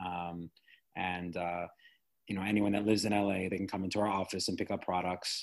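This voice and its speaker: Fairly low in pitch, a man with an American accent speaks at a fairly quick pace in a monotone, flat intonation. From US Midwest, Chicago. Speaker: skincare business owner. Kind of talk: casual interview. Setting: remote call.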